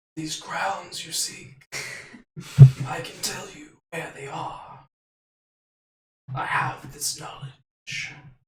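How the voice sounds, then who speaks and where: A raspy, put-on character voice sits at a low-to-middle pitch. It moves at a very slow pace with long, frequent pauses. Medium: actual play. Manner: solemn, imperious.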